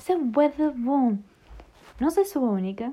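A woman's voice in a European Portuguese accent, with lively intonation. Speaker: podcast host. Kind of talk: casual chat.

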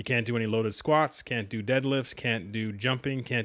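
The recording is very clean with a silent background. A man with a Canadian accent and a plain, everyday voice speaks at a moderate pace. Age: 40s. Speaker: sports podcast co-host. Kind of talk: casual chat.

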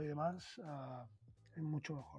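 His voice is a man's, fairly high in pitch with a dark, mellow tone. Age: 40s. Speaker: food influencer, former banker. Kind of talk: interview conversation.

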